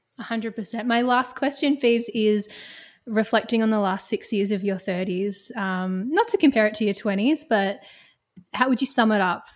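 A woman with an Australian accent, fairly high in pitch, ordinary pitch variation, at a moderate pace. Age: 30s. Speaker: podcast host and music presenter. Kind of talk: scripted narration; casual chat. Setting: video call.

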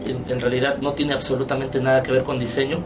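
A man's fairly high-pitched voice with audible room echo and music in the background. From Mérida, Yucatán, Mexico. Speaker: graphic designer. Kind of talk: radio interview.

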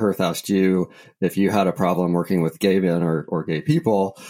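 A man speaks at a moderate pace. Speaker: podcast host and real estate broker. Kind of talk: casual interview chat.

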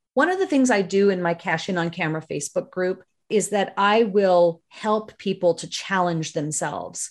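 With a Canadian accent, a woman talks at a moderate pace in a plain, everyday voice of medium pitch, with ordinary pitch variation. She hardly pauses at all, and the background is quiet. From Northern Ontario, Canada. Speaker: video marketing consultant, former TV broadcaster. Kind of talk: interview.

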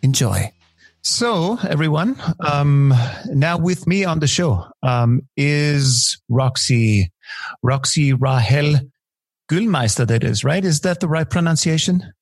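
At a very slow pace, a man speaks with lively intonation and a fairly high pitch. His voice is somewhat breathy, with very even loudness. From Austria. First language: German. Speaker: podcast host. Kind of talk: podcast interview.

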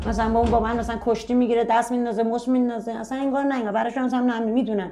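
With audible room echo, a woman talks at a very fast pace, her fairly high pitch held in monotone, flat intonation. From Tehran, Iran. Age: 30s. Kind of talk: personal testimony interview.

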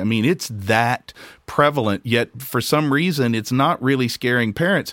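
Over a very clean recording with a silent background, a man talks at a moderate pace. He has an unremarkable speaking voice with ordinary pitch variation. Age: 50s. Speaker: podcast host and recovering stimulant addict. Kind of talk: casual interview conversation.

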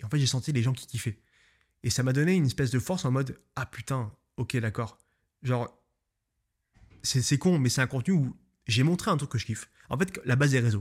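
A man talks at a fairly quick pace, sounding somewhat breathy. He takes long, frequent pauses on a very clean recording with a silent background. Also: medium pitch for a man, ordinary pitch variation. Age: 20s. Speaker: photographer and podcaster. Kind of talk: solo podcast monologue. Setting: home studio, filmed. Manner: casual, hesitant with fillers.

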